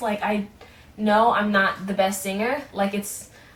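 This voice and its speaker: Against noticeable background noise, a woman speaks at a fairly high pitch and a moderate pace. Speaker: aspiring singer-songwriter vlogger. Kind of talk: casual vlog monologue. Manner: many filler words, hesitant.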